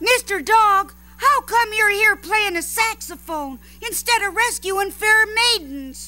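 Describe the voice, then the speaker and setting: The voice has an extremely high pitch and moves at a fairly slow pace. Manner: teasing, eager.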